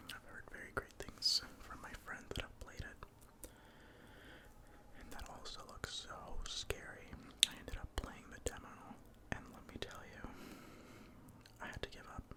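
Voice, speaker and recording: Whispering at a moderate pace with long, frequent pauses, the speaker is heard over noticeable background noise. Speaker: ASMR content creator. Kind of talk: ASMR gaming commentary. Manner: whispered.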